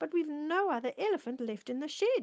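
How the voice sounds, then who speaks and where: A woman puts on a gruff character voice, pitched high with very wide swings. She speaks at a fairly quick pace. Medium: read story. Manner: cross, gruff.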